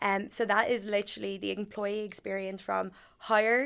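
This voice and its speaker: A woman speaks with an Irish accent. Her recording is very clean, with a silent background. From Ireland. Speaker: HR manager. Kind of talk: podcast interview.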